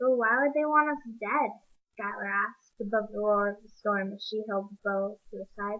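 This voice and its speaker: A woman speaks softly. Her pitch is fairly high. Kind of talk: reading a novel aloud. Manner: quiet, soft-spoken.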